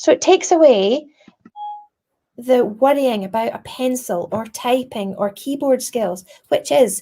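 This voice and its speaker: A woman in a Scottish accent, high-pitched, with lively intonation and a fairly slow pace. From Scotland. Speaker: primary school teacher. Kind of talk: tutorial. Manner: animated.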